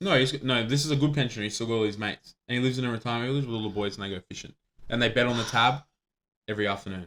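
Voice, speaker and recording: Speaking at a very fast pace, a man talks with an Australian accent. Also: medium pitch for a man, ordinary pitch variation. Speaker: podcast host. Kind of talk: casual chat. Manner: animated.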